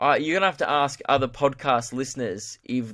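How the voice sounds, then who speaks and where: Captured in a very clean recording with a silent background, a man with an Australian accent speaks at a fairly quick pace with fairly even intonation. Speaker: comedian, podcast host. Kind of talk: casual podcast monologue, answering listener questions. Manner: casual, many fillers.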